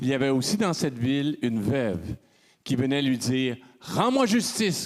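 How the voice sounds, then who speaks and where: In a mid-range voice, a man talks fairly slowly. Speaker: congregation member. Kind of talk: reading aloud. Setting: church. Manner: loud.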